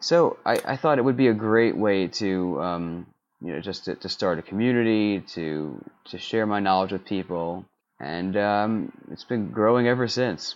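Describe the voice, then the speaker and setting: An unremarkable speaking voice from a man, fairly low in pitch with ordinary pitch variation, at a moderate pace. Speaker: menswear blogger on film costumes. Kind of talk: casual chat.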